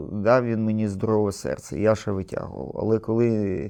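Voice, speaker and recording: A man speaks at a fairly low pitch. His tone is dark and mellow. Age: 60s. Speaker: war veteran. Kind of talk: interview.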